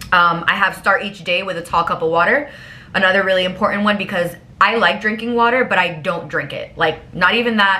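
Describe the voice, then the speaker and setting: A woman's animated, fairly quick delivery at medium pitch with ordinary pitch variation, amid noticeable background noise and audible room echo. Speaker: lifestyle vlogger. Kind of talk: casual chat. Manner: fast.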